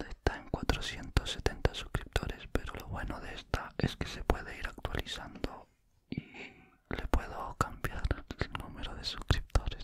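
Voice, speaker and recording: Whispering at a fairly slow pace, the voice has big swings in loudness. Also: man. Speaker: ASMR creator. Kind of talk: casual talk to camera, ASMR whisper chat. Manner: whispered, soft-spoken. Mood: happy, pleased. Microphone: studio mic.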